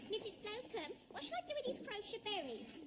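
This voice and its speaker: A put-on, squeaky character voice from a woman, extremely high in pitch and fairly quick, over clear background noise. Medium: short film. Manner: blunt, down-to-earth.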